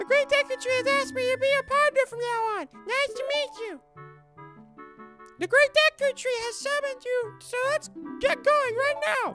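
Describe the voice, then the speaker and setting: Put-on character voice at an extremely high pitch, moderate pace, faint music in the background. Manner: annoying, chirpy.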